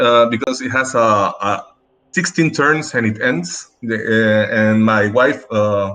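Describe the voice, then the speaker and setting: A man with a Chilean accent speaks very slowly at a medium pitch, with ordinary pitch variation. His tone is bright and sharp. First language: Spanish. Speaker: dentist and game league player. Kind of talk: podcast interview. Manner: halting.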